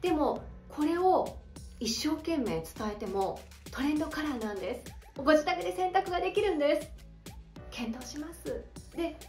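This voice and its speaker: A woman with a high pitch and very wide pitch swings at a moderate pace, with long, frequent pauses, audible room echo and faint music in the background. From Hokkaido, Japan. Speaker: speaking coach; narrator and former radio announcer. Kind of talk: educational talk to camera. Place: home room.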